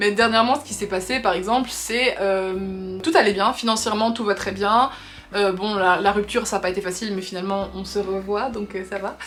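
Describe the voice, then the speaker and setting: A woman talks at a medium pitch with fairly even intonation. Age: 20s. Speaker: lifestyle vlogger. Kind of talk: casual chat. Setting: facecam video. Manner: fast.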